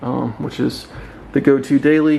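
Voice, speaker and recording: Speech at a fairly slow pace over noticeable background noise. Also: man. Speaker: powerlifter. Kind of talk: casual gym tour talk to camera. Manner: monotone; hesitant, many filler ums.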